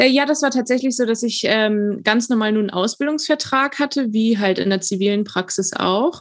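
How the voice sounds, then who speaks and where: With an unremarkable speaking voice, a woman talks at a moderate pace with hardly any pauses, very even loudness, a fairly high pitch and ordinary pitch variation. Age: 20s. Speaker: dental student, trained dental assistant. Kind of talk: interview.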